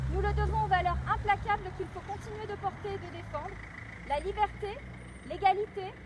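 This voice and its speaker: Over noticeable background noise, a woman speaks at a moderate pace with long, frequent pauses and big swings in loudness. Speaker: mayor. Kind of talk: commemorative speech. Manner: formal. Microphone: no microphone.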